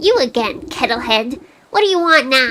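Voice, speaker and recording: A put-on character voice cackles. It sits at a high pitch. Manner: irritable, confrontational.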